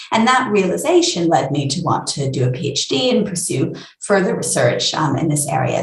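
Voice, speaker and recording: A woman talks at a fairly quick pace and fairly low pitch, her intonation lively. Noticeable background noise and audible room echo surround her voice. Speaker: neuroscientist. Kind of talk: interview. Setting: video call.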